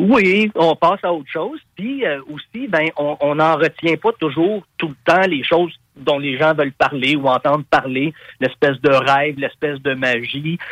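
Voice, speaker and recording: A man speaks in a Quebec accent at a fairly high pitch. The sound is dry and close with no echo. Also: ordinary pitch variation, fairly slow pace. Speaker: rock singer. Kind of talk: interview.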